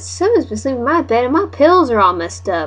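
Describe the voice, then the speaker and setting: A put-on character voice at a fairly high pitch races along at a very fast pace over light background noise. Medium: read story.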